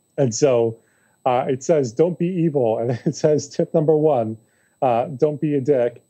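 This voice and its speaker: An American man with a fairly high pitch speaks at a fairly slow pace in a dark, mellow tone, with ordinary pitch variation and a quiet background. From New York City. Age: 30s. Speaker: author and public speaker; public speaker. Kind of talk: casual interview chat. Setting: remote call. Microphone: video call.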